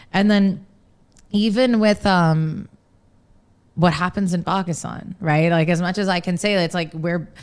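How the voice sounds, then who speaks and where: A woman with an American accent speaks at a fairly slow pace in a fairly low pitch, her intonation fairly even and broken by long, frequent pauses, on a very clean recording with a silent background. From US East Coast, Maryland. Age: 30s. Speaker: journalist and radio presenter. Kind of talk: podcast interview.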